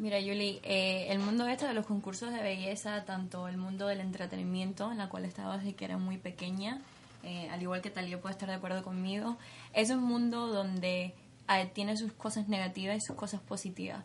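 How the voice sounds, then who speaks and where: Noticeable background noise sits behind a woman's medium-pitched voice. She speaks at a fairly quick pace in a monotone, flat intonation. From Cuba. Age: 20s. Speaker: beauty pageant winner. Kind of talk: interview.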